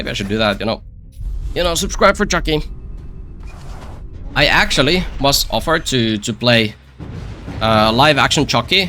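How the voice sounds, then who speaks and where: A man with a Finnish accent speaks with lively intonation while music plays in the background. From Finland. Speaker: gaming YouTuber. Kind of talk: gameplay commentary. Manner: repetitive filler-heavy speech; casual.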